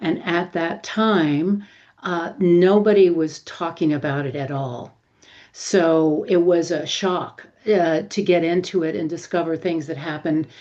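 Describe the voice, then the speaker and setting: The tone is dark and mellow, with ordinary pitch variation. Delivery comes at a fairly slow pace. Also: woman, fairly low pitch for a woman. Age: 70s. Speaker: menopause interviewee, emotions author. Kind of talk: interview, personal testimony.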